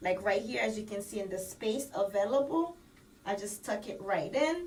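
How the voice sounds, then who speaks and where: Lively intonation marks this fairly slow speech in a Haitian accent. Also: woman. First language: Haitian Creole. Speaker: beauty vlogger. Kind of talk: tutorial. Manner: casual, code-switching.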